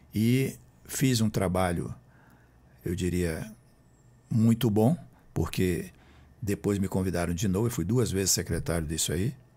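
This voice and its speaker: A man speaks at a fairly slow pace in a dark, mellow tone, with long, frequent pauses. The recording is very clean, with a silent background. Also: fairly low pitch for a man, ordinary pitch variation. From Brazil, Roraima (Boa Vista). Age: 70s. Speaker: author and former politician. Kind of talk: interview.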